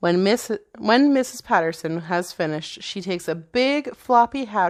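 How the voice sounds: The intonation stays lively throughout, delivered in a natural reading voice.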